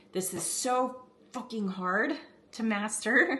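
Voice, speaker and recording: A woman puts on a raspy character voice at a fairly high pitch. She speaks at a fairly slow pace. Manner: aggressive, forceful.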